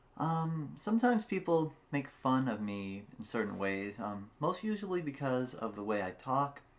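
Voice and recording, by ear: A man speaks at a moderate pace in a medium pitch, his voice swinging widely up and down.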